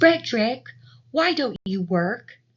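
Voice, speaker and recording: Pitched high, the woman's speech is a put-on character voice. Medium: read story.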